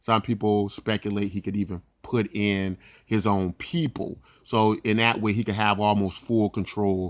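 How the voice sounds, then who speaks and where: Speaking at a fairly slow pace with fairly even intonation, a man with a fairly low voice is heard in a very clean recording with a silent background. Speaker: crypto YouTuber. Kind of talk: screen-recorded market analysis. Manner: hesitant, many fillers.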